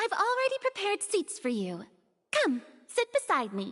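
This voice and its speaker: Putting on a squeaky character voice, a woman hits an extremely high pitch with very wide pitch swings at a moderate pace, the sound dry and close with no echo. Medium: video game. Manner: theatrical, grandiose.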